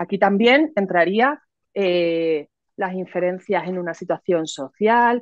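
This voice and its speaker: A woman with a Cádiz Andalusian accent speaks at a very slow pace in a fairly low pitch. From Cádiz, Andalusia, Spain. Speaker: psychologist and educator. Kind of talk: interview explanation.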